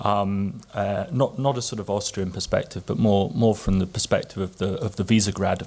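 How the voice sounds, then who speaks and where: A man with an English accent speaks at a moderate pace and a medium pitch. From England. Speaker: policy analyst. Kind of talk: conference panel talk. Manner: halting, many fillers and repeats.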